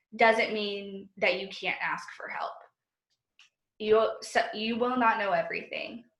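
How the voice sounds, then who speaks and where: There is audible room echo around this speaker. She is a woman with a fairly high pitch. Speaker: job candidate for teaching post. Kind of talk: job interview over video call.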